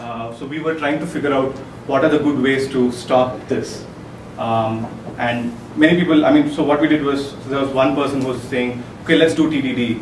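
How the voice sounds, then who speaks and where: A man with a fairly high voice speaks at a moderate pace with fairly even intonation. Noticeable background noise and audible room echo surround him. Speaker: software developer giving a tech talk. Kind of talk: conference talk. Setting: meetup presentation with audience. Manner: hesitant, many fillers.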